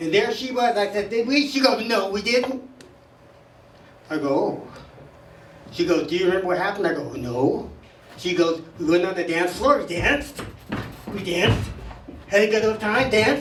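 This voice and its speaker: A high-pitched man with lively intonation and long, frequent pauses, amid noticeable background noise and audible room echo. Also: moderate pace. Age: 70s. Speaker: stand-up comic at open mic. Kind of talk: stand-up. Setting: stage with audience.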